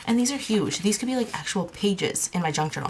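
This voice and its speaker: Lively intonation and a fairly quick pace come through over noticeable background noise. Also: woman. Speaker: craft vlogger. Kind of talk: casual show-and-tell vlog. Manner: fast; animated.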